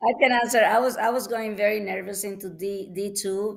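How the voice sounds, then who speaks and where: A woman with a non-native accent talks at a moderate pace and medium pitch. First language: not English. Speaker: wine student. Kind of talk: panel discussion.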